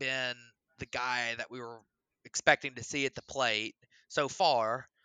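At a fairly slow pace, a man with an American accent uses an ordinary speaking voice at a medium pitch. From US South, Alabama. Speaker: baseball podcast co-host. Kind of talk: casual chat.

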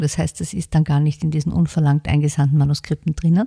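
A woman's voice, dark and mellow in tone and somewhat breathy, sounds dry and close with no echo. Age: 50s. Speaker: book publisher. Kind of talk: interview.

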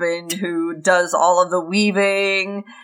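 With fairly even intonation, the clip is plain reading aloud.

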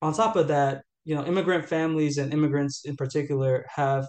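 This man's fairly high pitch pairs with a fairly quick pace. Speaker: policy analyst. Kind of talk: interview. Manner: hesitant, many fillers.

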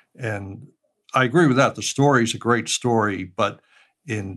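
A man with an American accent and an unremarkable speaking voice, at a fairly slow pace with ordinary pitch variation, over a quiet background. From Pittsburgh, US. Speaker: retired engineer and audio drama writer. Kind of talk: interview. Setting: remote recording from home.

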